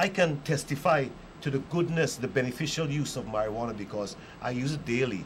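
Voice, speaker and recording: Lively intonation marks this man's speech. He talks at a fairly quick pace, somewhat breathy. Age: 60s. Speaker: marijuana reform advocate. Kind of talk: panel discussion.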